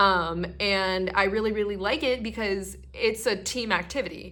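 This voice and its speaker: Fairly slow speech from a woman, bright and sharp in tone, with fairly even intonation and audible room echo. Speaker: YouTuber and cosplayer. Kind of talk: partly scripted vlog monologue. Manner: hesitant, with stutters and fillers; casual, chatty.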